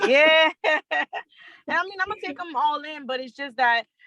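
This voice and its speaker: Speaking very fast in a Louisiana accent, a woman shows ordinary pitch variation. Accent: US Southern (Louisiana). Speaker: freight dispatcher. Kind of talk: casual chat.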